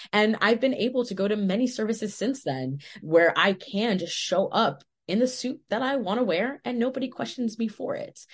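A woman talks at a moderate pace with lively intonation. Her fairly high voice is somewhat breathy. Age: 20s. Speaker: podcast guest, social media creator. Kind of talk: casual interview chat. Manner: halting, many fillers.

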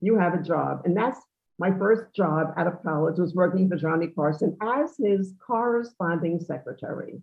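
A woman speaks with a New York accent. Her pitch is fairly low. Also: ordinary pitch variation, moderate pace. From New York, Long Island (Great Neck). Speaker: socialite and charity event regular. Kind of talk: interview.

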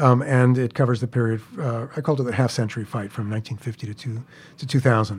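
Talking very fast, a man sounds somewhat breathy, his intonation fairly even. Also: medium pitch for a man. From New York City (Queens). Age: 60s. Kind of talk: storytelling interview.

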